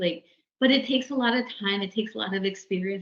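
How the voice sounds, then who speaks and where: A woman with a Maritime Canadian accent, fairly quick pace and fairly even intonation. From New Brunswick, Mi'kmaq community. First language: Mi'kmaq. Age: young. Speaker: lawyer. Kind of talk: interview. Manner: halting.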